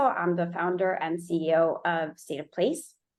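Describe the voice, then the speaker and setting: This woman speaks with a slight Miami accent. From Miami, Florida. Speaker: urban data researcher and company founder. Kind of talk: conference presentation.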